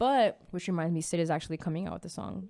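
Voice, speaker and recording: On a very clean recording with a silent background, a woman speaks with ordinary pitch variation. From Miami, Florida. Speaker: podcast co-host. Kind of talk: casual podcast chat and TV review. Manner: expressive.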